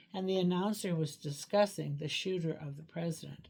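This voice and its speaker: Her voice is somewhat breathy, with a dark, mellow tone and a fairly low pitch for a woman. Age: 80s+. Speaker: licensed clinical social worker. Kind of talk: reading aloud a personal letter; casual personal introduction.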